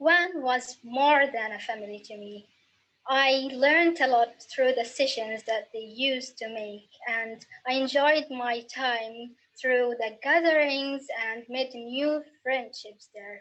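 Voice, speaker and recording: Someone speaks at a very slow pace with an Arabic accent. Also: woman, high pitch for a woman, ordinary pitch variation, big swings in loudness. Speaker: young writer. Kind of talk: recorded personal testimony.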